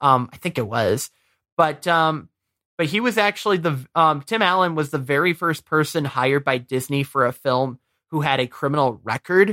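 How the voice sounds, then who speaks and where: A man with an American accent speaks at a moderate pace, fairly high in pitch, with lively intonation and a bright, sharp tone. The recording is very clean and dry, close with no echo, against a silent background. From Michigan. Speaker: podcast host, movie reviewer. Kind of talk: casual chat. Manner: halting, many fillers.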